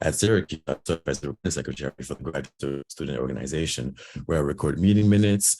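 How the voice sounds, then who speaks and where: Using vocal fry, a man talks at a very fast pace with ordinary pitch variation. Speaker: board election candidate. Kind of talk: campaign speech.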